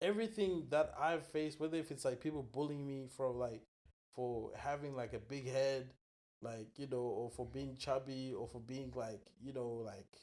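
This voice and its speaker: A man speaks at a medium pitch. His pace is moderate and his pitch variation ordinary. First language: not English (English is third language). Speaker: entrepreneur. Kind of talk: casual chat.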